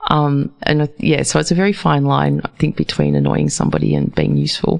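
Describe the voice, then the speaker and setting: A fairly quick New Zealand accent at very even loudness, with noticeable background noise. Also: woman. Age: 50s. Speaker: radio host. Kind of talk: casual interview.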